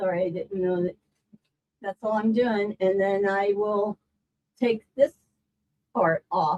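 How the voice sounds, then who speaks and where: A woman's medium-pitched voice at a very slow pace, fairly even in intonation, with long, frequent pauses and a dry, close sound with no echo. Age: 70s. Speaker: quilting teacher. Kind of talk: live stream tutorial. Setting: live stream. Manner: casual.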